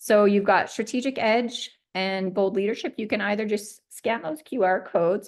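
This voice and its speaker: Delivery is at a moderate pace with ordinary pitch variation. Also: woman, medium pitch for a woman. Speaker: webinar host for a business program. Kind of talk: webinar wrap-up and program pitch. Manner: animated.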